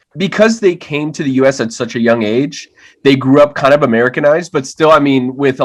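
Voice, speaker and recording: A man with a Miami accent, fairly quick, with ordinary pitch variation. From Miami, Florida (Hialeah). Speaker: writer and actor. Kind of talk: podcast interview. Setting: video call.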